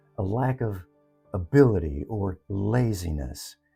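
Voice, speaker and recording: With music in the background, a man's voice moves through very wide pitch swings. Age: 70s. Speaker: retired elder sharing life lessons. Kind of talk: reflective personal talk.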